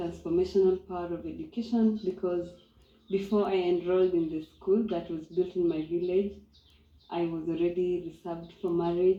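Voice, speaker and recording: Her voice is fairly low and dark, mellow in tone, as a woman speaks with a Kenyan accent and monotone, flat intonation. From Kenya, Maasai community. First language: Maasai. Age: young. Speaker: eco lodge co-owner. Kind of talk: interview testimony.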